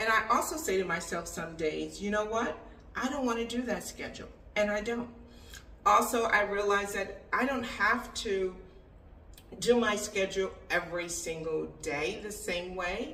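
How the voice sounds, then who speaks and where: With noticeable background noise and audible room echo, a woman talks at a moderate pace in a medium pitch with ordinary pitch variation. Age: 60s. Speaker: expat lifestyle vlogger. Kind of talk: casual advice monologue. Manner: conversational.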